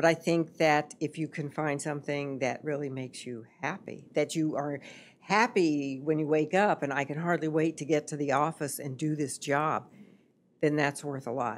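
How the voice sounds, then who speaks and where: A woman speaks with very deep, low pitch and fairly even intonation. Her pace is moderate. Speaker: podcast guest, host's mother. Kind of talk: interview answer. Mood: reflective, earnest. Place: studio. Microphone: studio mic.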